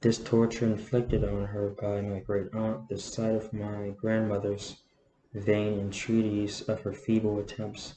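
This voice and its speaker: A fairly low-pitched, somewhat breathy man's voice, dark and mellow in tone, flat and monotone at a fairly slow pace. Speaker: amateur audiobook reader. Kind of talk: novel reading.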